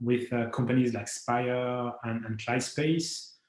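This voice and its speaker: A man with a French accent speaks at a medium pitch. His pace is moderate, and audible room echo can be heard. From France. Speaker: company founder, space entrepreneur. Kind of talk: conference talk. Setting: remote video presentation. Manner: halting, many fillers.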